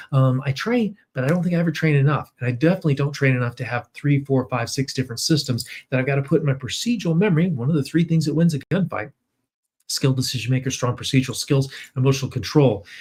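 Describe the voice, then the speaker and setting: Speaking at a very fast pace, a man with a fairly high pitch and ordinary pitch variation sounds somewhat breathy. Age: 60s. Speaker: firearms trainer and law enforcement officer. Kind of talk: webinar presentation. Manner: casual, conversational with fillers.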